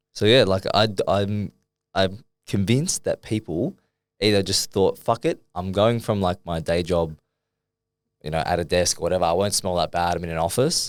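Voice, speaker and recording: A man with an Australian accent speaks at a very deep, low pitch and a moderate pace, with ordinary pitch variation. The recording is very clean, with a silent background. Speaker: fitness coach and podcast co-host. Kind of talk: casual chat. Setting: studio. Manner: loud.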